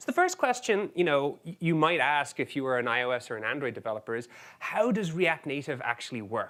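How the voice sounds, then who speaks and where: In an Irish accent, a man with a fairly high, bright, sharp voice speaks at a fairly quick pace with hardly any pauses, very wide pitch swings and big swings in loudness. The recording is very clean with a silent background. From Ireland. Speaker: software engineer, conference speaker. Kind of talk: conference talk.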